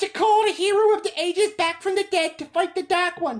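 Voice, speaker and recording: This put-on character voice is squeaky and extremely high in pitch. It runs at a fairly quick pace. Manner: awed, shaken.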